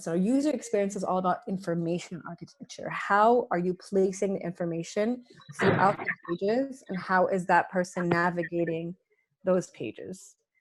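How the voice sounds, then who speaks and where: This woman speaks at a moderate pace and a medium pitch. Her pitch varies in an ordinary way. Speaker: UX/UI design instructor. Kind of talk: online workshop lecture. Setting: video call. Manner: loud.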